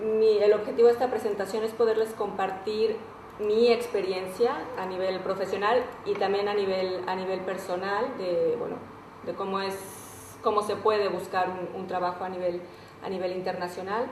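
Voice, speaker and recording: Amid noticeable background noise and audible room echo, a woman speaks at a medium pitch with fairly even intonation. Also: moderate pace. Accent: Mexican. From Mexico. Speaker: recruitment and career consultant. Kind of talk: webinar presentation. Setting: online webinar. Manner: hesitant, many repetitions.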